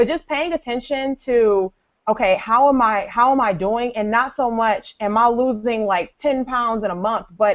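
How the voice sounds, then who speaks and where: Speaking at a moderate pace, this woman has an ordinary speaking voice, fairly high in pitch, with ordinary pitch variation. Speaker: personal trainer and fitness blogger. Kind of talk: casual chat.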